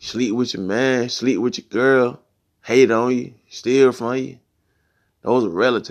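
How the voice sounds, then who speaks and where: A man's medium-pitched voice with fairly even intonation at a fairly slow pace, over a quiet background. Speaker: podcast host. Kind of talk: angry rant, solo monologue. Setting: solo recording, no guest. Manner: emphatic, heated, blunt, repeating 'man' and 'you know what I'm saying'.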